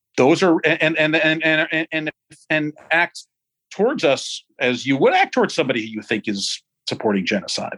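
This man's fairly high voice carries vocal fry, with a dry, close sound and no echo. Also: moderate pace. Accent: American. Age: 50s. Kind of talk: casual interview. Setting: video call.

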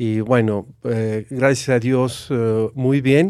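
A man speaks at a medium pitch in a dark, mellow tone with fairly even intonation. The recording is very clean, with a silent background. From Mexico (Aguascalientes). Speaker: retired university executive. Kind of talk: interview conversation.

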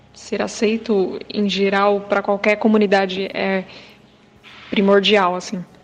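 Over noticeable background noise, the speech moves at a fairly slow pace in a monotone, flat intonation. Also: woman, medium pitch for a woman. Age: 20s. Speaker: video editor, church member. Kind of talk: testimony.

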